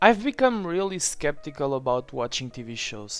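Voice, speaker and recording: Moderate-paced speech in a non-native accent over music in the background. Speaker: TV series reviewer. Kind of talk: opinion review voice-over.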